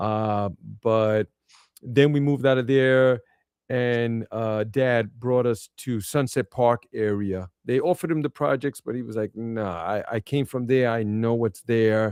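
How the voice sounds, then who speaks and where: A man with a Brooklyn accent speaks at a fairly slow pace and medium pitch with ordinary pitch variation. The sound is dry and close with no echo, against a quiet background. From Brooklyn, New York City. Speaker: podcast guest. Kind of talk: casual interview chat.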